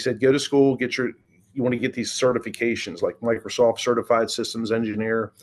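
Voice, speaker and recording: Here a man talks at a fairly quick pace with a medium pitch. He has a normal speaking voice. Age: 60s. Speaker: real estate investor. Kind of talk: interview.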